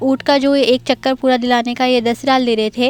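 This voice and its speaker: This is a woman's voice. Her intonation is monotone and flat. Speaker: vlogger. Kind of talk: travel vlog narration. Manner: hesitant, many fillers.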